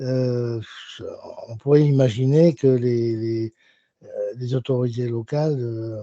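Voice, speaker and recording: Using fairly even intonation, a man talks in a medium pitch. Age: 70s. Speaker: consumer association member. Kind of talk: audience question in online Q&A. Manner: halting.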